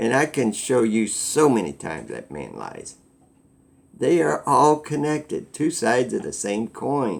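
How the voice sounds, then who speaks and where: On a very clean recording with a silent background, a man of medium pitch speaks at a fairly slow pace with vocal fry, very wide pitch swings and big swings in loudness. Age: 60s. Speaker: vlogger. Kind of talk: casual monologue.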